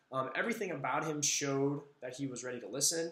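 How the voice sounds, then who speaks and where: Audible room echo surrounds a man talking at a very fast pace. His pitch is fairly high, with ordinary pitch variation. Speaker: teacher doing graduate coursework. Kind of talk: recorded class assignment monologue. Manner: casual with many fillers. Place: home room. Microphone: webcam.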